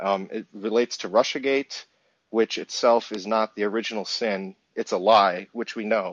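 With a plain, everyday voice, a man speaks at a moderate pace and fairly low pitch with fairly even intonation. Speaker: caller. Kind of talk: call-in discussion. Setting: phone call.

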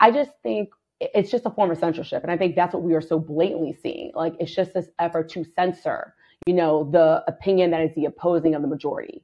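A woman's normal speaking voice, fairly low-pitched, at a fairly quick pace with ordinary pitch variation. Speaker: caller. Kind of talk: casual chat. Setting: live audio app call-in.

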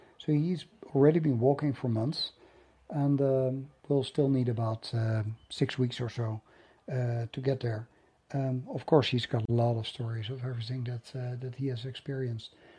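A somewhat breathy man with a dark, mellow tone and medium pitch speaks at a moderate pace with fairly even intonation. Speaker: podcast host and writer. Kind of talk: solo monologue update, casual.

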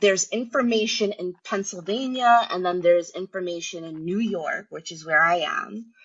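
A woman with a plain, everyday voice speaks at a moderate pace and medium pitch, with ordinary pitch variation and big swings in loudness. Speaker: caller. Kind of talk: casual chat. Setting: phone call.

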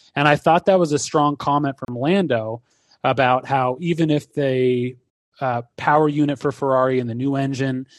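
A man speaks at a moderate pace in an unremarkable speaking voice of medium pitch, against a quiet background. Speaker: sports podcast co-host. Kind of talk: casual chat. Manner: analytical, explanatory.

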